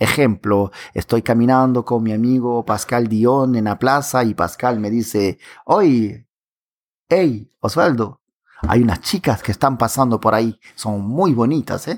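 A man speaks at medium pitch and a fairly slow pace, with ordinary pitch variation. The recording is very clean with a silent background, dry and close with no echo. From Peruvian Amazon, Pucallpa. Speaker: podcast host. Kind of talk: language-learning podcast.

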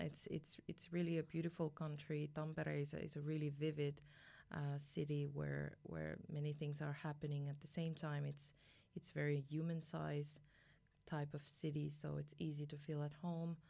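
A woman's very deep, low voice with a dark, mellow tone and a French accent, flat and monotone at a moderate pace, on a very clean recording with a silent background. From France. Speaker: university senior advisor. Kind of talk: interview. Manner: halting.

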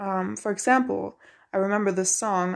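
A non-native accent marks the speech. Behind it lies a silent background on a very clean recording. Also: woman. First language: not English. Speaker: podcast host, college student and musician. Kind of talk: solo monologue podcast. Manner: casual with many fillers and restarts.

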